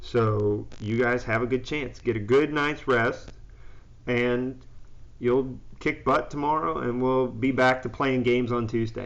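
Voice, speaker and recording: A man's monotone, flat voice carries audible room echo. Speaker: high school physics teacher. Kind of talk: live-streamed classroom review and pep talk. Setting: live stream. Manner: loud, confident.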